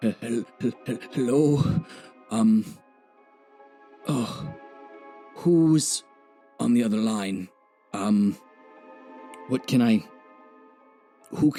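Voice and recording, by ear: A man in a put-on character voice, raspy and at a medium pitch, speaks at a very slow pace with long, frequent pauses while faint music plays in the background.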